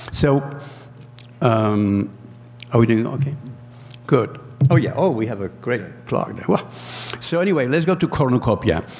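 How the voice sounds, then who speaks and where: With noticeable background noise behind him, a man speaks at a moderate pace and medium pitch, his intonation lively and broken by long, frequent pauses. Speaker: food artist. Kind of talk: presentation. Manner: halting.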